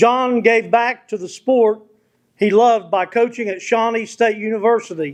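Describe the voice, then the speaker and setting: A loud man with an American accent speaks at a fairly slow pace, his pitch extremely high for a man and his pitch variation ordinary. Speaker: award presenter. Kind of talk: formal speech introducing an honoree. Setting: banquet hall with audience, at a microphone.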